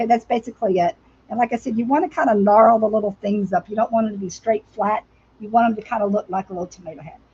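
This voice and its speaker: A woman talks at a very fast pace in a fairly high, somewhat breathy voice with a dark, mellow tone. Her loudness swings widely while her pitch varies in an ordinary way. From US South. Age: 60s. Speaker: crafter. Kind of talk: live craft tutorial. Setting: livestream. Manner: casual, chatty.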